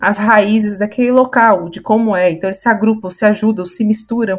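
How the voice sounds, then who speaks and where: Here a woman speaks at a fairly high pitch. Her voice is somewhat breathy. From Santos, São Paulo state, Brazil. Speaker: podcast panelist. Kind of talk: casual panel discussion.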